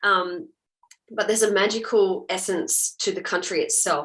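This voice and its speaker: A woman with an Australian accent, at a moderate pace. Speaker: actor. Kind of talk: interview.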